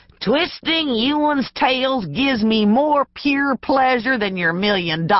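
At a fairly slow pace, someone delivers lines in a put-on character voice. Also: female-sounding voice, high pitch for a woman. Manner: gloating, menacing.

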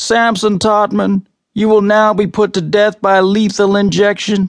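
A loud, put-on character voice moves at a moderate pace. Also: man, high pitch for a man. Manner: loud monotone, expressionless.

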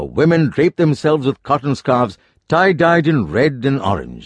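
In a quiet background, a man with an unremarkable speaking voice talks at a moderate pace and a fairly high pitch. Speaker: audiobook narrator. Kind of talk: audiobook narration, unabridged non-fiction reading. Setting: studio. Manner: formal, even-paced, measured.

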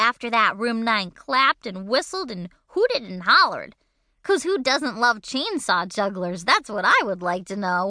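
The background stays quiet as the text is read aloud in a natural voice.

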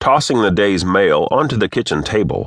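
Against a quiet background, a plain, everyday voice moves at a moderate pace with lively intonation. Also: man. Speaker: audiobook narrator. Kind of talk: audiobook narration of a story, read aloud. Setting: studio recording. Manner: even, steady storyteller's pace.

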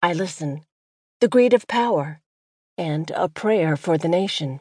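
Very slowly and with lively intonation, a woman speaks in a dark, mellow tone, the sound dry and close with no echo. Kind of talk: audiobook poetry reading, devotional spoken word. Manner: measured, earnest, expressive cadence.

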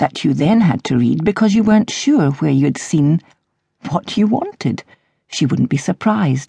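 A woman speaks at a moderate pace in a fairly low, somewhat breathy voice with a dark, mellow tone, very wide pitch swings and very even loudness, recorded with a dry, close sound and no echo. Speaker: audiobook narrator. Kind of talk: audiobook narration of a novel, with a dry, wry mock-eulogy passage.

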